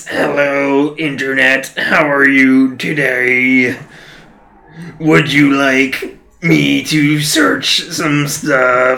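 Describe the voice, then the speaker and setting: At a very slow pace, a man performs a put-on character voice at a medium pitch. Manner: mechanical, chipper.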